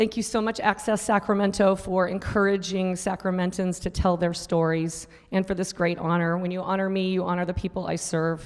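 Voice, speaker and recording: A woman talks at a fairly quick pace in a medium pitch with flat, monotone intonation. The recording is very clean, with a silent background. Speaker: nonprofit executive director. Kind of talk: award acceptance speech. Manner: formal.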